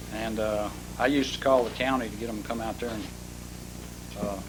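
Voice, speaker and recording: This man speaks at a moderate pace with a medium pitch, a flat, monotone delivery and an Arkansas accent, with audible room echo and noticeable background noise. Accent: Southern US (Arkansas). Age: 70s. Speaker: property owner speaking at council meeting. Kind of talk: public comment at city council. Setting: city council meeting.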